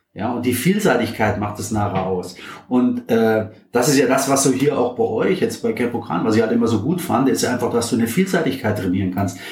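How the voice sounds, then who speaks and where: A man with a medium pitch talks at a fairly quick pace with lively intonation, and the recording carries audible room echo and noticeable background noise. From Bavaria, Germany. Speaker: physiotherapist and former ice hockey coach. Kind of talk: casual interview. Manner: hesitant, many filler sounds.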